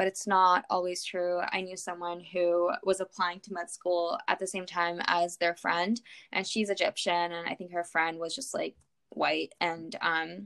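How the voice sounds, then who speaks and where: A woman with fairly low pitch uses an unremarkable speaking voice at a moderate pace, her fairly even intonation captured in a dry, close sound with no echo. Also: very clean recording, silent background. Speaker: podcast host, medical student. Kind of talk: casual interview.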